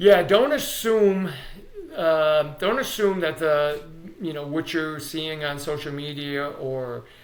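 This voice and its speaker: At a very slow pace, a man talks in a fairly high pitch with ordinary pitch variation, with audible room echo and noticeable background noise. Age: 60s. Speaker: sports performance coach. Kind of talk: interview. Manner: halting, many fillers.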